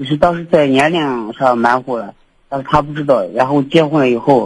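At a moderate pace, a man speaks with fairly even intonation in a medium pitch. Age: 30s. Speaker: radio call-in listener. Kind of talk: casual chat.

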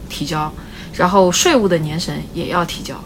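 Noticeable background noise and audible room echo accompany a woman speaking. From China, Wenzhou. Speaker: bakery owner. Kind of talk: casual interview. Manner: talkative.

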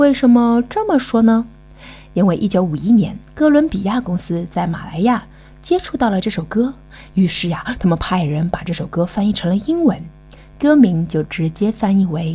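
Over music in the background, a woman with a medium-pitched voice speaks at a moderate pace with lively intonation. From Shanghai. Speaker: podcast guest presenter. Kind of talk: scripted narration.

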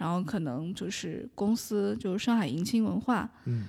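A woman speaks at a moderate pace. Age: 20s. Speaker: audiobook narrator. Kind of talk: interview.

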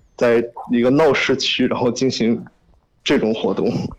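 Medium in pitch, a man is speaking. His pace is moderate. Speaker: music festival attendee, caller. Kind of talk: casual phone conversation. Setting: phone call.

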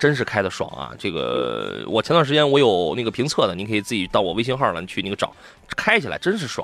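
Over noticeable background noise, a man talks very fast in an animated tone. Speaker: radio host, car show. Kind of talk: live radio call-in chat. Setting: radio studio. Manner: animated, humorous, fast talker.

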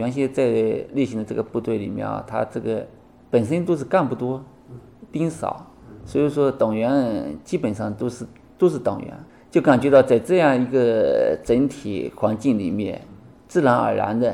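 Medium pitch, moderate pace and ordinary pitch variation from a man. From Xianju, Taizhou, Zhejiang. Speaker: city law enforcement officer, army veteran. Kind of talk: interview. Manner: halting, many fillers.

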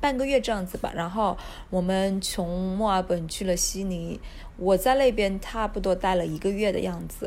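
With a Hunan accent, a woman speaks fairly slowly at a medium pitch with ordinary pitch variation. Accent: Hunan-accented Mandarin, noticeable. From Hunan, China. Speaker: backpacker guest. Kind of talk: casual interview chat. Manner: casual, easygoing, laughs often.

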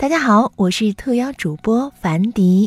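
A woman's somewhat breathy voice, fairly high in pitch, with lively intonation and a dry, close sound with no echo. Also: very clean recording, silent background. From Weifang, Shandong, China. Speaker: podcast anchor. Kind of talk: scripted narration.

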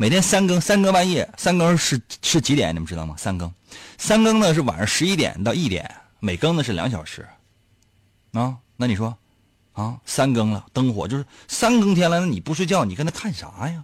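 Over a silent background in a very clean recording, a man with a fairly high, somewhat breathy voice speaks at a moderate pace with very wide pitch swings. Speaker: radio host. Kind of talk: casual chat. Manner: animated.

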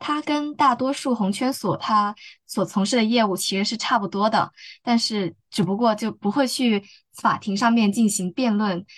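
A woman with a fairly high, somewhat breathy voice speaks with ordinary pitch variation. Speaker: law student. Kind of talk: casual interview.

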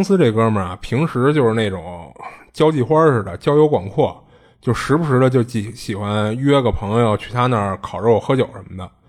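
On a very clean recording with a silent background, a man at a medium pitch has a plain, everyday voice and lively intonation. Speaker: podcast host. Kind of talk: casual chat, storytelling.

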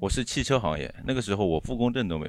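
A man talks very fast on a very clean recording with a silent background. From Shanghai, Baoshan district. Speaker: car industry team leader. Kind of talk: casual chat.

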